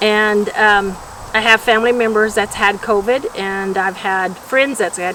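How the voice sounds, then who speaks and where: Noticeable background noise sits behind a woman with an American accent. She speaks at medium pitch and a fairly slow pace. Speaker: retired public health worker, anti-smoking advocate. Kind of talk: interview testimony. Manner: halting, many fillers.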